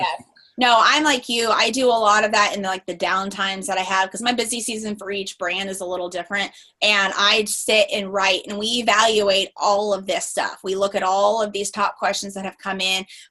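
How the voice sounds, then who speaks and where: There is noticeable background noise as a woman speaks. Her pitch is medium and her pace fairly quick. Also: fairly even intonation. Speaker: lawyer and photographer, business consultant. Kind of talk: interview. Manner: fast.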